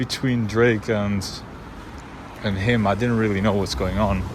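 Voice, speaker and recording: A man's fairly low-pitched voice with ordinary pitch variation and noticeable background noise. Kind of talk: casual vlog talk to camera.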